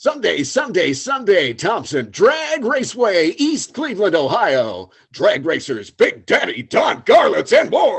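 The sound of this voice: Putting on a character voice, a man speaks in a raised, projected voice at an extremely high pitch and a fairly slow pace, with hardly any pauses.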